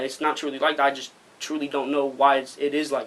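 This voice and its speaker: A fairly high-pitched man talks at a fairly quick speed while noticeable background noise sounds behind him. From Arizona. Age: young. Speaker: rapper. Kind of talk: interview. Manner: halting.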